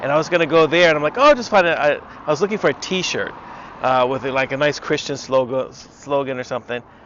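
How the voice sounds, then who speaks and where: Amid noticeable background noise, a man with an American accent talks at a very fast pace in a fairly high pitch with ordinary pitch variation. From United States. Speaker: vlogger. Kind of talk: casual vlog monologue. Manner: hesitant, many fillers.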